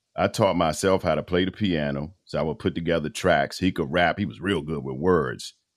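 A man with a very deep, low pitch and vocal fry talks at a fairly quick pace with hardly any pauses. His pitch variation is ordinary, and the recording is very clean with a silent background. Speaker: voiceover artist and radio personality. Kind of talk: casual interview chat.

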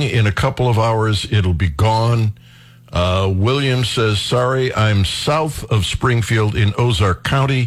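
The man talks at a fairly slow pace in a somewhat breathy voice. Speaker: radio talk show host. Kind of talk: talk radio. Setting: studio.

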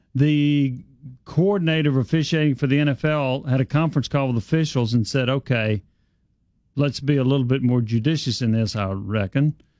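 This man has an ordinary speaking voice, with ordinary pitch variation and very even loudness. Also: medium pitch for a man, quiet background. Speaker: sports radio host. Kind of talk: sports talk radio interview. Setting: radio studio.

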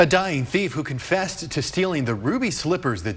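A man with a plain, everyday voice speaks at a fairly quick pace with lively intonation. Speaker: news anchor. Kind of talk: news reading.

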